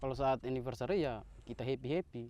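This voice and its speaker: A man speaks with ordinary pitch variation. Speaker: motorcycle club leader. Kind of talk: casual interview. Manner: halting.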